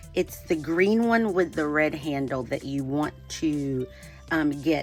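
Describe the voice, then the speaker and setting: Over music in the background, a woman speaks at a very slow pace. Her very deep, low voice shows ordinary pitch variation. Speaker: artist, painter. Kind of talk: art tutorial talk to camera. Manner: casual, friendly, hesitant with many fillers.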